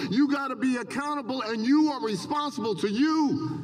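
Over noticeable background noise, a man talks at a moderate pace in an animated tone, his pitch extremely high with ordinary variation. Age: 70s. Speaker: motivational speaker, professor. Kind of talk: commencement speech. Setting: stadium with audience.

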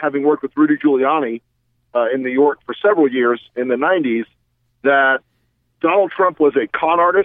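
This man has a plain, everyday voice, fairly high in pitch. He speaks at a moderate pace with ordinary pitch variation. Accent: American. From US South. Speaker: former Republican political operative. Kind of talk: casual interview conversation.

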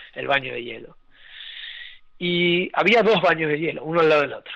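A man speaks with a fairly high pitch. His tone is bright and sharp. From Argentina and Venezuela (Puerto Ordaz). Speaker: breathwork and ice bath instructor. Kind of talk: interview conversation. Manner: halting, many repetitions and fillers.

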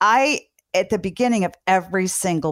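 At a moderate pace, a woman speaks in an ordinary speaking voice at medium pitch with ordinary pitch variation, on a very clean recording with a silent background. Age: 60s. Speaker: parenting podcast host, doctor. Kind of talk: interview.

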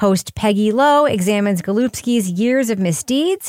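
A woman's plain, everyday voice at medium pitch, lively intonation and a moderate pace, in a dry, close recording with no echo, very clean with a silent background. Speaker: podcast host. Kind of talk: casual banter and podcast review.

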